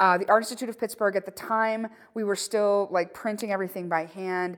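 A normal speaking voice moves at a moderate pace on a very clean recording where the background is silent. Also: woman. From southwestern Pennsylvania. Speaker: photographer. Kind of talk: casual chat. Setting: studio.

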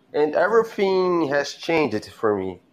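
The speech has a Brazilian Portuguese accent and lively intonation. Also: man, quiet background. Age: 20s. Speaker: caller on live show. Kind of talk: casual chat. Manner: halting.

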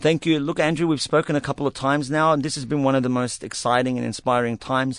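In an Australian accent, the speaker moves at a fairly quick pace with ordinary pitch variation, recorded dry and close with no echo against a quiet background. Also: man. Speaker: novelist. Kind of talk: interview. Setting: studio.

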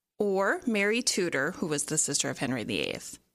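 On a very clean recording with a silent background, a woman with vocal fry speaks fairly slowly, her pitch swinging very widely. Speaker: podcast host. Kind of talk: casual chat.

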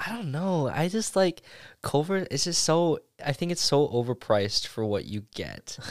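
Captured on a very clean recording with a silent background, a man speaks at a fairly high pitch with very wide pitch swings. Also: moderate pace. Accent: Wisconsin. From Oshkosh, Wisconsin. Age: 19. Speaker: college student. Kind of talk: casual chat.

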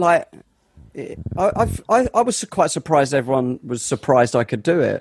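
A man with a South London accent talks at a moderate pace with very wide pitch swings. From south-east London. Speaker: podcast co-host. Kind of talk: casual chat.

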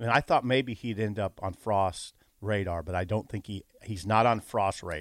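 A man talks at a moderate pace with fairly low pitch and ordinary pitch variation. The recording is very clean, with a silent background and a dry, close sound with no echo. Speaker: sports columnist and radio co-host. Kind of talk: casual chat. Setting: studio. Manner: quiet, volume goes up and down.

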